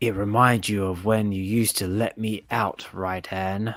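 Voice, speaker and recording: A man does a put-on character voice in a fairly low pitch, monotone and flat, at a moderate pace. The recording is very clean, with a silent background. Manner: sinister, nasty, menacing.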